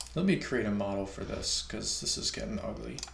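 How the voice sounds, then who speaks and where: A man speaks with audible room echo. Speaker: software developer live-streaming coding. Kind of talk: live-coding stream. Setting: live stream. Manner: casual, with many fillers and hesitations.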